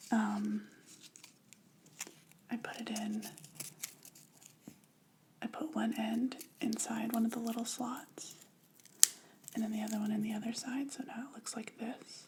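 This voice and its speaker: Soft-spoken and fairly high-pitched, a woman talks at a fairly slow pace in a monotone, flat intonation, with long, frequent pauses and noticeable background noise. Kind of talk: ASMR craft video talk.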